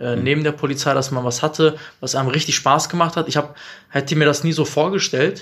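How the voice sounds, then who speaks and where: A man talks in a normal speaking voice. His pace is fairly quick and his intonation fairly even. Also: fairly high pitch for a man. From Bielefeld, Germany. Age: 30s. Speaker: entrepreneur. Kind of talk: casual interview. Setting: coworking space.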